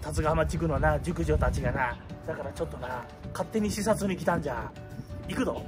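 Clear music plays in the background. A man talks at a fairly quick pace with a Wakayama accent. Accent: rough Wakayama fishing-port dialect. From Wakayama, Arida. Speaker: comedic vlogger in costume. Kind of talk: casual talk to camera. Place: street. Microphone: phone near.

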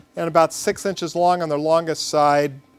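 Speech comes at a moderate pace with music in the background. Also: man. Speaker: metalworking instructor. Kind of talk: tutorial. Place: workshop.

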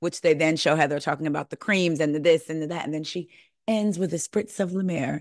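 Against a quiet background, a woman with a fairly low pitch uses a normal speaking voice with fairly even intonation and a dry sound with no echo. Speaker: podcast host. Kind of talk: casual reality TV recap commentary. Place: home room. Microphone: studio mic.

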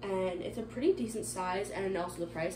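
A woman talks fairly quickly, with noticeable noise running in the background. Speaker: lifestyle vlogger. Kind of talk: casual vlog chat. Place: kitchen.

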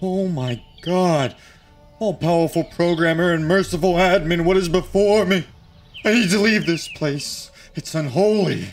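A man with a high pitch at a moderate pace, faint music in the background. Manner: panicked, awestruck.

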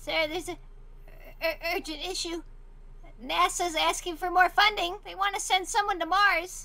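A woman speaks in a put-on character voice pitched extremely high, at a moderate pace with ordinary pitch variation, big swings in loudness, and long, frequent pauses. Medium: machinima. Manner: formal, exasperated, sarcastic.

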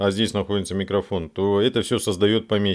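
Against a quiet background, a man talks at a moderate pace in a fairly low voice. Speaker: video blogger, civic activist; video blogger. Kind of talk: tutorial. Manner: halting, many false starts and fillers. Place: home room. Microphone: studio mic.

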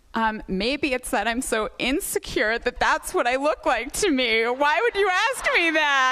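In an American accent, a woman speaks with a raised, projected voice at a high pitch, her pitch swinging very widely while her loudness stays very even. Her pace is fairly slow, with hardly any pauses. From Portland, Oregon, US; Oregon. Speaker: comedy writer; interview guest. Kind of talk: comedic interview. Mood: playful, joking. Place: stage. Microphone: studio mic.

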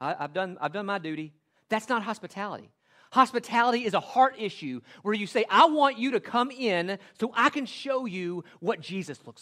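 A man with a Southern US accent speaks in a high, bright, sharp voice. His intonation is lively, and the recording is very clean with a silent background. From US South, western Tennessee. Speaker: pastor. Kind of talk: sermon. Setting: church.

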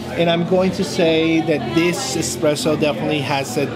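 Clear music runs in the background as a man talks. He speaks at a fairly slow pace with ordinary pitch variation. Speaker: coffee reviewer. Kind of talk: casual vlog review. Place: cafe. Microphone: phone near.

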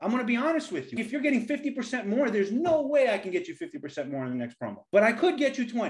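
Over a quiet background, a man talks at a very fast pace with very wide pitch swings and hardly any pauses. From US Northeast, the Bronx, New York City. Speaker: engineer, former big tech engineering leader; podcast host. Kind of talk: casual chat. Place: home room. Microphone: webcam.

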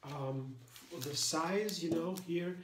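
Ordinary pitch variation from a man at a moderate pace, with noticeable background noise. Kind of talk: cooking tutorial. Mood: cheerful and enthusiastic. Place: kitchen.

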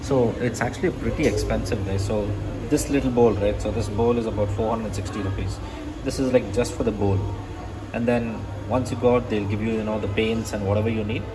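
Over music in the background, a man with a fairly low pitch speaks at a fairly quick pace with fairly even intonation. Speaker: travel vlogger. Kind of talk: casual vlog chat. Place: cafe. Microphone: phone near.

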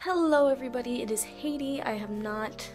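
Clear music plays in the background as a woman talks with ordinary pitch variation. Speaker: vlogger. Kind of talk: casual vlog chat. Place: home room. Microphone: webcam.

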